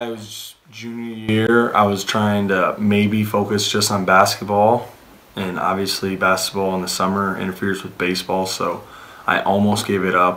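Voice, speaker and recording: With an American accent, a man of fairly low pitch speaks at a moderate pace in a monotone, flat intonation, amid noticeable background noise and audible room echo. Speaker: professional baseball player. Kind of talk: interview.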